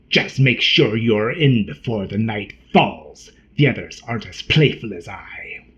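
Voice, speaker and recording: Here a man puts on a character voice at a medium pitch, with a hissing sound. He speaks at a fairly slow pace. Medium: read story. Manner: scornful, quick-tempered.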